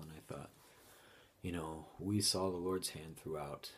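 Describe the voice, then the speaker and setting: A man with a Utah accent, fairly quick and fairly even in intonation. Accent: Utah American English. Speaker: bereaved father. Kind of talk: testimony. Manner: halting.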